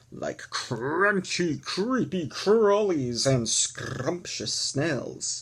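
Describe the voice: Lively intonation over plain reading aloud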